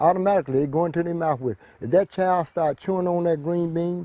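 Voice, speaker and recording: At a moderate pace, a man with an ordinary speaking voice talks at a fairly high pitch. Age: 60s. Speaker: farmer and children's book author. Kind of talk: interview.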